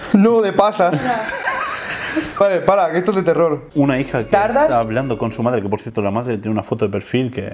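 A man speaks at a fairly quick pace over light background noise. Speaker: youtuber host. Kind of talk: casual vlog chat. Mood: joking, playful mock fear. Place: home room.

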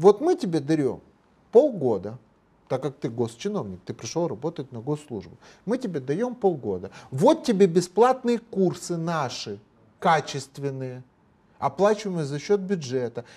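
With a dark, mellow tone and a fairly high pitch, a man speaks at a fairly slow pace, leaving long, frequent pauses, while his pitch swings very widely and his loudness rises and falls in big swings. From Moldova. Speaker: lawyer and public figure; guest. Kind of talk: TV interview. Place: studio. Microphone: lapel.

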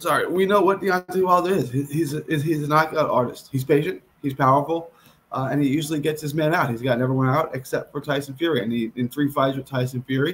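His voice comes out somewhat breathy. The man is talking at a very fast pace. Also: ordinary pitch variation. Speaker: boxing betting show host. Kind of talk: commentary. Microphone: earbuds.

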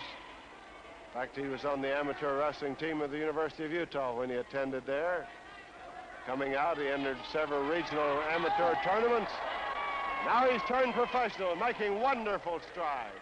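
Speaking at a moderate pace, a man has a fairly high pitch and lively intonation. Noticeable background noise runs underneath. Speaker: ringside wrestling commentator. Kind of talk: live sports commentary, wrestling play-by-play. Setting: 1950s television broadcast, ringside.

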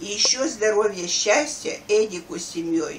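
With light background noise behind it, the voice moves at a very slow pace with lively intonation. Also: woman. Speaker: grandmother. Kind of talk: reading aloud. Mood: warm, festive. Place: home room. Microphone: camera far.

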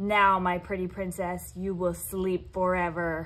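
A female-sounding voice at medium pitch puts on a cackling character voice. The pace is fairly slow. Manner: cackling, gloating.

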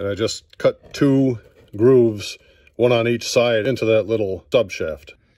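With fairly even intonation, a man talks in a dry sound with no echo against a quiet background. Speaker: DIY repair demonstrator. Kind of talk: tutorial. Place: home room. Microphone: phone near.

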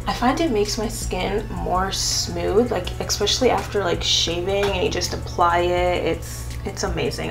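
Woman at a moderate pace over clear music in the background. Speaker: beauty vlogger. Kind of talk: casual vlog chat. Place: home room.

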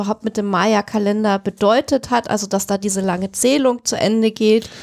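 Monotone, flat intonation from a woman, her pitch fairly high and her pace moderate. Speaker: podcast co-host. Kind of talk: casual chat. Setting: studio.

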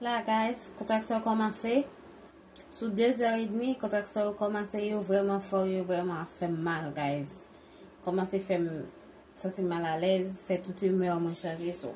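A woman's voice with ordinary pitch variation over light background noise. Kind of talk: casual vlog chat. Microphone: phone near.

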